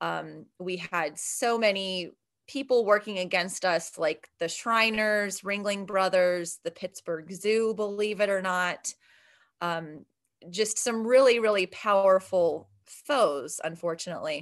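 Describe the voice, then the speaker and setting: A woman with an American accent at a very slow pace, ordinary pitch variation, and a quiet background. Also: medium pitch for a woman. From Ohio, Steubenville. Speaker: math professor and nonprofit vice president. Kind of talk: podcast interview.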